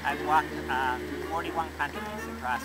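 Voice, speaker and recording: The background is filled with loud music. Over it, a man talks. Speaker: wandering pilgrim. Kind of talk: interview answer. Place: street. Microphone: phone near.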